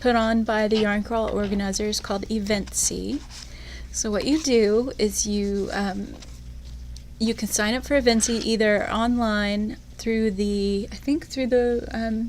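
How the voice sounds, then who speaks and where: Very slowly, a soft-spoken woman talks in a somewhat breathy voice. Her pitch is fairly high and her intonation fairly even. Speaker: yarn shop podcast host. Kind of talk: casual chat.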